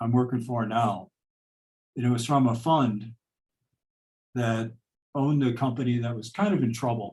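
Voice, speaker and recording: A man with an American accent speaks in a medium pitch with a dark, mellow tone, a somewhat breathy quality and fairly even intonation. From Illinois, US Midwest. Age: 60s. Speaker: chief financial officer. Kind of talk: personal story in a group talk. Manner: halting, many fillers.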